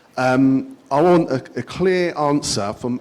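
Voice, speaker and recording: Noticeable background noise surrounds the speech. The man's intonation is lively. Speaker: resident asking a question at a public meeting. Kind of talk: public meeting question. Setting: community centre meeting with audience. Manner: halting, repetitive.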